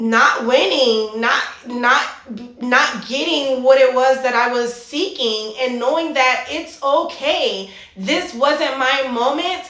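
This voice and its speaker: Speaking at a very slow pace, a woman with a high pitch and ordinary pitch variation is heard amid noticeable background noise and audible room echo. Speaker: fitness and mindset coach. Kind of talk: motivational monologue.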